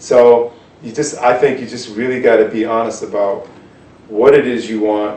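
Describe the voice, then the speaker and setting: With an American accent, a man speaks at a moderate pace and medium pitch with fairly even intonation, his loudness swinging widely amid noticeable background noise and audible room echo. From US Northeast (Cambridge, Massachusetts). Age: 40s. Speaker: jazz guitarist. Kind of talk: interview. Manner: casual, hesitant with many fillers.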